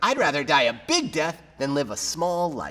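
The pitch sits fairly high as a man performs a put-on character voice. His delivery holds a moderate pace. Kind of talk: promotional recap to camera. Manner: dramatic, defiant.

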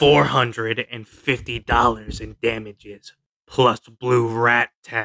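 A man uses a raspy, put-on character voice at medium pitch. He speaks at a fairly slow pace. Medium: dub.

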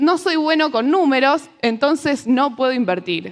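Against a quiet background, a woman speaks fairly slowly with a Rioplatense accent. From Argentina. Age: 20s. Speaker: economist and financial educator; speaker. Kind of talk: talk to a live audience. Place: stage. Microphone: lapel.

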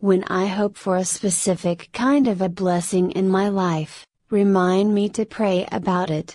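Against a quiet background, a woman with an ordinary speaking voice talks at a fairly slow pace and a medium pitch. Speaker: prayer reader. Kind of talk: fervent devotional prayer, earnestly petitioning an angel and God. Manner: earnest, reverent.

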